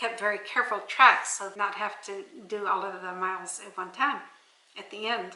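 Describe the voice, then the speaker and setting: At a moderate pace, a woman with a medium pitch talks in fairly even intonation, leaving long, frequent pauses, with audible room echo and noticeable background noise. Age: 80s+. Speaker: off-grid homesteader and author. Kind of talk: casual interview. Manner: conversational, with some repeated words.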